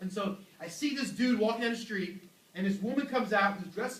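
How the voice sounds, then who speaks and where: Loud and high-pitched, a man talks at a moderate pace with ordinary pitch variation, and room echo is audible. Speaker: youth pastor. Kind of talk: sermon. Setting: church. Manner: animated.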